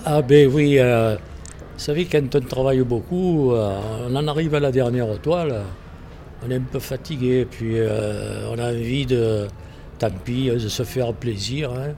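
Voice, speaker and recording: A man with a Provençal accent speaks very slowly at a medium pitch, his pitch varying in an ordinary way. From Provence, southern France. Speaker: painter and theatre set designer. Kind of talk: interview. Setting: art gallery. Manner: halting.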